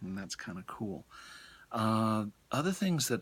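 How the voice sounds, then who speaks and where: A soft-spoken man with an American accent, fairly low pitch and a moderate pace, on a very clean recording with a silent background. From US, Colorado (Denver). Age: middle-aged. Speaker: college English professor. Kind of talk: lecture. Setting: bookstore.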